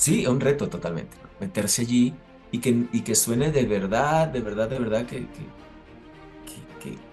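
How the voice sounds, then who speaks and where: Music plays in the background as a man talks at medium pitch and a moderate pace. His intonation is lively and his loudness swings widely. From Venezuela. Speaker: actor, voice actor, announcer. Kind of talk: interview answer.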